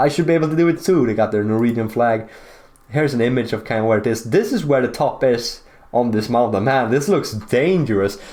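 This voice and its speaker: This speaker has a Swedish accent and an animated tone, moving at a fairly quick pace. Pitch variation is ordinary and loudness stays very even. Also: man, medium pitch for a man. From Sweden. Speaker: geography YouTuber. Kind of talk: casual commentary over maps. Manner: casual, animated.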